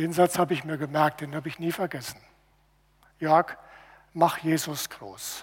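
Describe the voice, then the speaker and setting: Speaking at a fairly slow pace with long, frequent pauses, a man with a fairly high pitch keeps his intonation fairly even while his loudness swings widely. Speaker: preacher. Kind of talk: sermon. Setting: church. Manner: earnest, teaching, steady.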